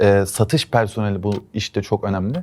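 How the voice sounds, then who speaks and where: Over a very clean recording with a silent background, a man talks at a fairly quick pace in a dark, mellow tone. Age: 20s. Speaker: entrepreneur, network specialist. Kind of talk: investment pitch.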